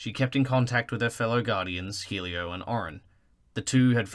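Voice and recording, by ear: Someone reading aloud in a natural voice. The pitch varies in an ordinary way.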